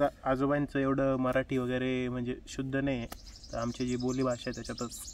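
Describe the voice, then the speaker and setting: There is noticeable background noise. Through it, a man talks at a medium pitch. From Nashik, Maharashtra. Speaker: vlogger, software engineer. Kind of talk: casual vlog intro to camera.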